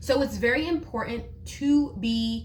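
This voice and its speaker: The room gives off audible echo. A woman's voice sits within it. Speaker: teacher and parenting video creator. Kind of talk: casual tutorial monologue. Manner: loud; expressive, conversational.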